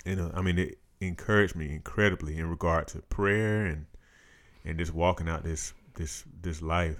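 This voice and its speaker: A man's very deep, low voice at a moderate pace with fairly even intonation, very clean recording, silent background. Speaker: podcast host. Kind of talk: casual conversational podcast talk about faith and prayer. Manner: halting, with many fillers.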